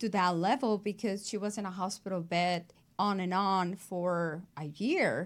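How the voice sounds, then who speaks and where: In a very clean recording with a silent background, a woman with a Mexican accent speaks at a fairly slow pace with ordinary pitch variation. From Mexico. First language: Spanish. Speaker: abstract artist. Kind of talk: interview.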